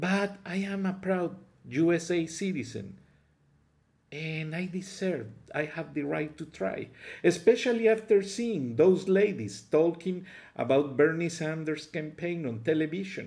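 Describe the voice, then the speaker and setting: A man speaks with a strong Mexican accent at a fairly slow pace. His pitch is high and his intonation lively. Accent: heavy Mexican Spanish. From Mexico. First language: Spanish. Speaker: political commentary vlogger. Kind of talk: political opinion monologue.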